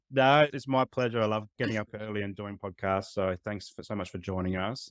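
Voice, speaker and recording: With an Australian accent, a man speaks at a moderate pace and fairly low pitch with ordinary pitch variation, on a very clean, dry, close recording with no echo and a silent background. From Adelaide, South Australia. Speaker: podcast host. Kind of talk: podcast interview.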